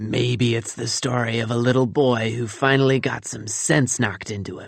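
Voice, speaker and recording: A man does a put-on character voice, growling and wheezy, at a medium pitch with fairly even intonation and a moderate pace. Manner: unpleasant, sneering.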